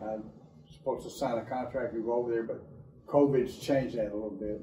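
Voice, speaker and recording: In a room with audible echo, a man speaks at a fairly quick pace and medium pitch with monotone, flat intonation. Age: 70s. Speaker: patient, sports coach. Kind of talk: testimony.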